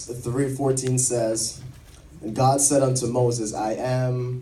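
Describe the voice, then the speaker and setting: The man's tone is dramatic, at medium pitch. He speaks at a very slow pace. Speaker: minister performing spoken word. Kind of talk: spoken word poetry performance. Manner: powerful, rhythmic, dramatic.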